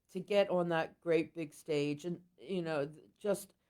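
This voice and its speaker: The woman's ordinary pitch variation comes with a very slow pace. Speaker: blues singer and harmonica player. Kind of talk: podcast interview. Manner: halting.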